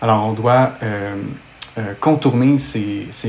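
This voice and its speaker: Noticeable background noise sits behind a man with a medium-pitched voice. He speaks at a very slow pace with fairly even intonation. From Quebec, Montreal. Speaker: exercise physiologist. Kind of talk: technical interview discussion.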